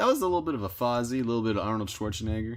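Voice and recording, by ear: A man talks at a very fast pace. His voice sits at a medium pitch with lively intonation.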